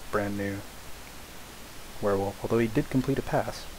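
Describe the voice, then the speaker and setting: Noticeable background noise behind a male voice at a moderate pace. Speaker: video game commentator. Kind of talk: game replay commentary. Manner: hesitant, many filler words.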